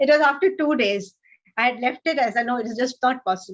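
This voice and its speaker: Speaking with an Indian accent, a woman uses a high pitch with ordinary pitch variation. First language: Hindi. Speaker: author. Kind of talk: interview.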